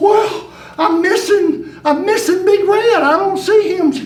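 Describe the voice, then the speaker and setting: Using a put-on character voice at an extremely high pitch, a man speaks at a fairly slow pace with a slight echo. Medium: stage play. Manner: folksy, fussing.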